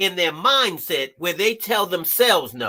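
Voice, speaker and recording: A raised, projected voice with a bright, sharp, animated tone moves along at a fairly slow pace. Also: man. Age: 60s. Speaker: therapist and life coach, ex-felon. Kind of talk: live stream talk show interview. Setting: live stream.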